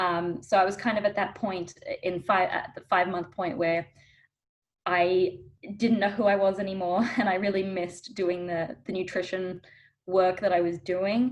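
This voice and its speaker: At a moderate pace, a woman with an Australian accent speaks with fairly even intonation. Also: medium pitch for a woman. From Australia, Melbourne. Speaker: dietitian. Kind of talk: interview.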